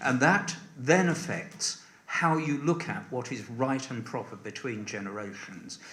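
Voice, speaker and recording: Noticeable background noise and audible room echo surround a man speaking at a fairly slow pace. His medium pitch carries lively intonation. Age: 70s. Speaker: election candidate. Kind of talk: hustings answer. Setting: parish hall with audience.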